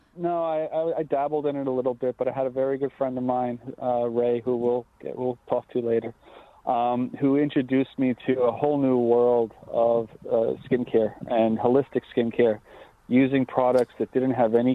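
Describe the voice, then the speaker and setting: A man's monotone, flat voice at a moderate pace. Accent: Long Island. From Long Island, New York. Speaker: skincare company co-founder. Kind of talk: interview.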